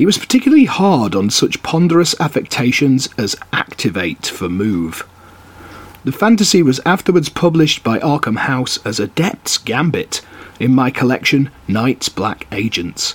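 A man with a medium-pitched voice and vocal fry speaks at a moderate pace, his pitch swinging very widely. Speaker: podcast host reading aloud. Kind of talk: literary audiobook reading of an essay. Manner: measured, steady, formal reading pace; relaxed, chatty in intro and outro.

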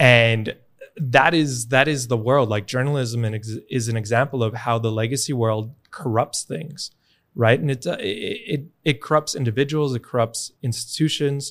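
A man with an American accent speaks in a normal speaking voice at a moderate pace. His pitch is medium with ordinary variation, and the recording is very clean with a silent background. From New York, US. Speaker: bitcoin education nonprofit founder. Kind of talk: interview conversation.

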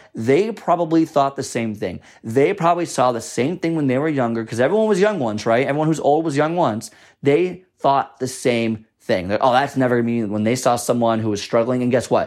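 On a very clean recording with a silent background, an unremarkable speaking voice moves at a fairly quick pace with lively intonation. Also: man, medium pitch for a man. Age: 20s. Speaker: fitness and nutrition podcast host. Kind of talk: solo podcast monologue. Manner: casual, conversational.

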